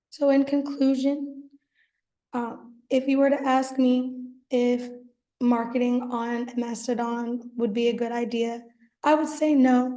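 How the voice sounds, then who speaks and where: Audible room echo surrounds a woman's high-pitched voice with monotone, flat intonation. She talks at a fairly slow pace with long, frequent pauses. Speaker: student. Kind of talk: class presentation. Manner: hesitant.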